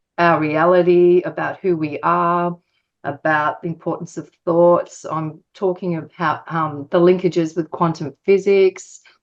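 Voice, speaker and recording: Her voice is an unremarkable speaking voice, with a fairly low pitch for a woman and fairly even intonation. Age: 60s. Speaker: author and publisher. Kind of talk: interview. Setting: podcast interview.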